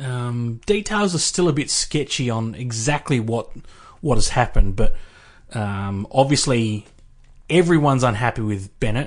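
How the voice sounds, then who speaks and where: With an Australian accent, a man at a medium pitch talks at a moderate pace with lively intonation over a quiet background. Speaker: sports podcast co-host. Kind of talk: casual chat.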